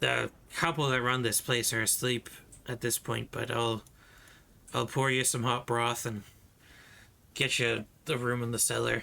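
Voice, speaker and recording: A man puts on a character voice that is raspy and medium in pitch, with monotone, flat intonation. He keeps a moderate pace with long, frequent pauses. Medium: actual play. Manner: gruff, curt.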